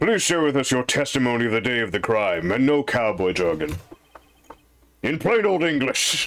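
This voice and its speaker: A man's put-on character voice at a moderate pace, with very wide pitch swings and very even loudness. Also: medium pitch for a man. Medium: game stream. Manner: formal, mildly exasperated.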